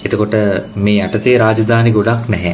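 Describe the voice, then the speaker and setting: A man talks very slowly at a fairly low pitch. Room echo and noticeable background noise can be heard. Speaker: biology teacher. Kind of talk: lecture.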